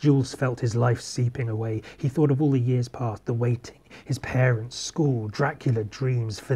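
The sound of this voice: The voice reads without strain. It sounds unforced.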